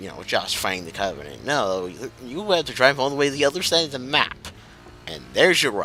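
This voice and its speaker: Very wide pitch swings in a man's medium-pitched speech. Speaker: gaming video commentator. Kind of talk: let's play commentary. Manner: halting.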